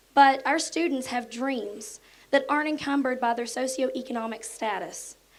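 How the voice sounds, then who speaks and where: A woman with an Appalachian accent speaks at a high pitch. Her pace is moderate, and her pitch varies by ordinary amounts. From southern West Virginia, Mercer County. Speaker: elementary school teacher. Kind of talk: prepared speech.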